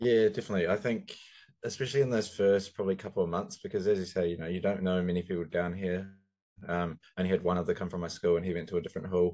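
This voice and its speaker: With a New Zealand accent, a man talks very fast in a very deep, low pitch and a dark, mellow tone, his intonation fairly even against a quiet background. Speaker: podcast co-host and student. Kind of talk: casual chat. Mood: relaxed, reflective. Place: office. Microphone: video call.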